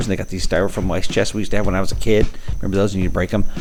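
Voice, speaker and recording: Against noticeable background noise, a man speaks very fast in a monotone, flat voice. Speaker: travel vlogger. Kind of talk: walking vlog narration. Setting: indoors in a store, then outdoors. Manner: casual, rambling with fillers.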